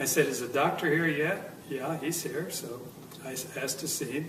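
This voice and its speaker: A man speaks at a moderate pace in a fairly high voice, with ordinary pitch variation. There is audible room echo and noticeable background noise. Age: 70s. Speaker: near-death experience witness. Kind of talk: testimony. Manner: halting.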